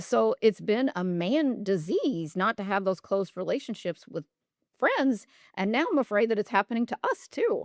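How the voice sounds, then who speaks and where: On a dry, close recording with no echo, a woman with a fairly high pitch uses an ordinary speaking voice, lively intonation and a moderate pace. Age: 50s. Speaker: nurse and functional medicine specialist. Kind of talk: casual interview chat.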